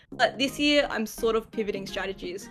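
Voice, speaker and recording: A woman with an Australian accent talks at a fairly quick pace in a fairly high pitch. Her recording is very clean, with a silent background. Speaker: YouTuber, gaming content creator. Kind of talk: casual podcast chat.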